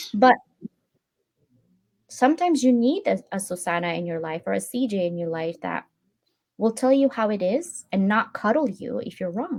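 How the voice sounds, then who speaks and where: A woman's fairly high voice at a moderate pace, with very wide pitch swings and long, frequent pauses. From Philippines. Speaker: online community host. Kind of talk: casual chat. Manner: animated.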